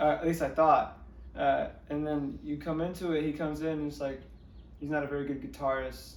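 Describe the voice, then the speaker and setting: This man has an American accent and talks at a fairly quick pace. Room echo is audible around his voice. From Northern California. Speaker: musician. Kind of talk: interview. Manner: halting.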